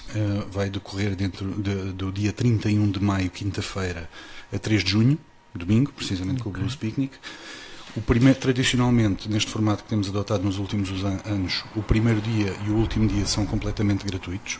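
A man's plain, everyday voice, fairly low in pitch, with fairly even intonation and a moderate pace. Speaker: festival promoter. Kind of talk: casual interview. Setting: live broadcast.

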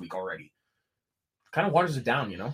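The man's voice is somewhat breathy. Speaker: wrestling podcast co-host. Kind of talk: casual chat.

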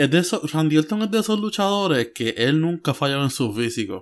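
Recorded very cleanly against a silent background, a man talks at a fairly quick pace with very wide pitch swings. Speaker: wrestling podcast co-host. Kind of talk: casual chat.

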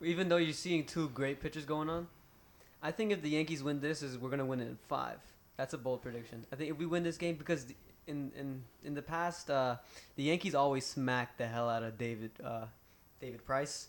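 A man talks at a fairly quick pace in a normal speaking voice. His pitch is fairly high and varies in an ordinary way. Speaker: sports podcast co-host. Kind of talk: casual sports banter.

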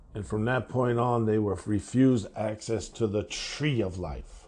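Very slowly, a man talks in a voice that is somewhat breathy. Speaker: devotional podcast host. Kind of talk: bible devotional.

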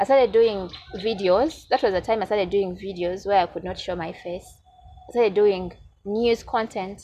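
Over music in the background, a woman talks at a moderate pace in a medium pitch with ordinary pitch variation. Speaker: YouTuber and procurement officer. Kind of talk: interview conversation. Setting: studio. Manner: hesitant.

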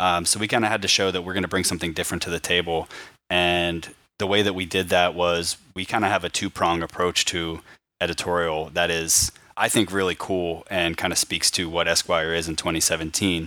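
A bright, sharp voice with an American accent, fairly quick and monotone and flat, on a very clean recording with a silent background. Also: man, very deep, low pitch for a man. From Pittsburgh, Pennsylvania. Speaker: magazine managing editor. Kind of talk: interview.

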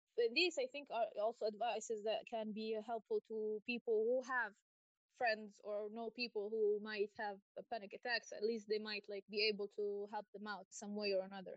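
An ordinary speaking voice from a woman, fairly high in pitch, fairly even in intonation, at a moderate pace. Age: 30s. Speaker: guest, graphic designer and artist. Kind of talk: casual interview chat.

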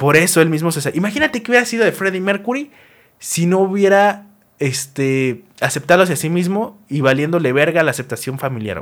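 A man's high-pitched voice with lively intonation and a fairly quick pace, on a very clean recording with a silent background. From Mexico. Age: 20s. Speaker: podcast host. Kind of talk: casual monologue. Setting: recorded on camera. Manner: animated.

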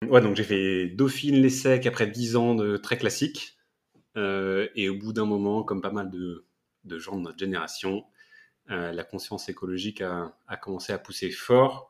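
A normal speaking voice from a man, fairly low in pitch, with ordinary pitch variation and big swings in loudness. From Paris region, France. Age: 30s. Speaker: ocean activist. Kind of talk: casual interview.

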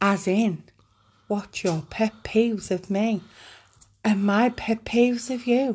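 A woman speaks very slowly at a fairly high pitch, somewhat breathy, with fairly even intonation and long, frequent pauses. The recording is very clean, with a silent background. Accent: northern English. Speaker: podcast co-host. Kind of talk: casual chat.

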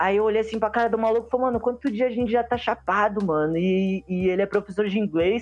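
With music in the background, a high-pitched man speaks at a very fast pace with hardly any pauses, his loudness very even and his intonation fairly even. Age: 20s. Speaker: comic artist and skateboarder. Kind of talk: casual chat.

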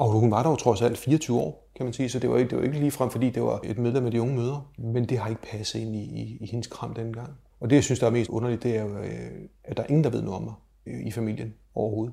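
A man's medium-pitched, dark and mellow voice with vocal fry, very fast, with fairly even intonation. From Denmark, Slagelse (Zealand). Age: 50s. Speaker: adoptee sharing personal story. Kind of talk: personal testimony interview. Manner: hesitant, filler words and repetitions.

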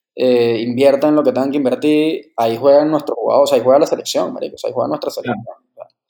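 A man speaks with a Venezuelan accent. He talks at a very fast pace. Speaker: podcast co-host. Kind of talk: casual chat.

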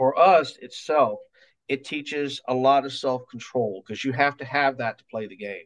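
Here is a man with an American accent, a medium pitch and an unremarkable speaking voice. He uses ordinary pitch variation and big swings in loudness. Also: moderate pace. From US South, Mobile, Alabama. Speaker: music teacher and martial arts instructor. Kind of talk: interview.

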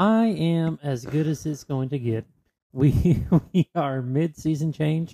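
A man with a Southern US accent and a fairly high pitch, at a very slow pace with ordinary pitch variation. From North Carolina, US South. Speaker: podcast co-host. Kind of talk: casual chat. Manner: joking, playful.

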